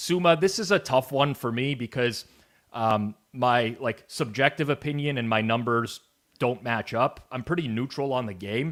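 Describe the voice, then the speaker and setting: In a Canadian accent, a man uses an ordinary speaking voice with medium pitch, ordinary pitch variation and a moderate pace, recorded very cleanly against a silent background. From Canada. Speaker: sports betting show host. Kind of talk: sports betting analysis show.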